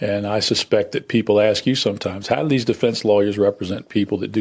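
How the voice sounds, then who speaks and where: On a very clean recording with a silent background, a man talks at a medium pitch in a plain, everyday voice. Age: 60s. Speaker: criminal defense lawyer. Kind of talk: interview. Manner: conversational.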